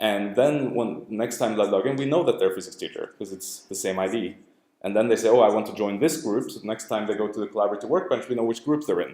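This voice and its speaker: With audible room echo, a man speaks very fast in a dark, mellow tone with ordinary pitch variation. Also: medium pitch for a man. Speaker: academic researcher presenting his work. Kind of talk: lecture. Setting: lab seminar room with audience.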